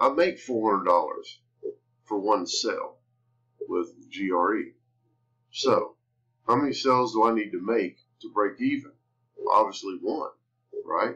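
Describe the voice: With long, frequent pauses, a man speaks at a fairly slow pace in a fairly low pitch, his bright, sharp tone carrying a slightly husky edge. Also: ordinary pitch variation.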